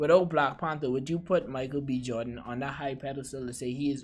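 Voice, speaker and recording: This is a man with an unremarkable speaking voice. His pitch is medium, with ordinary variation. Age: 20s. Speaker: cinema AV specialist. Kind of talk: casual chat.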